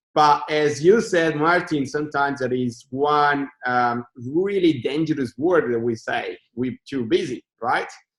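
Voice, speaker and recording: A man speaks with an Italian accent at a fairly slow pace. His pitch is fairly high, and he leaves hardly any pauses. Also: ordinary pitch variation. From Italy. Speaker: podcast host. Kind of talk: interview.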